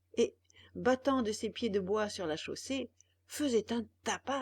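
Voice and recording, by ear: The speaker reads aloud in a natural voice. The pitch varies in an ordinary way.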